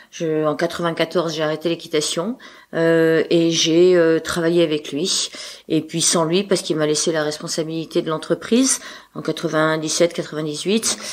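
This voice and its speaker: A woman's fairly low-pitched voice at a moderate pace, with fairly even intonation. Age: 60s. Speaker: trail club leader and race organizer. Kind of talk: podcast interview. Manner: talkative, hesitant.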